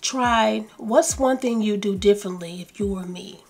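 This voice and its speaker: A woman speaks with a Southern US accent at a fairly slow pace. Her pitch is fairly high and her intonation lively. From US South. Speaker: lifestyle YouTuber. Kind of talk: self-help video talk. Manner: slow and calm.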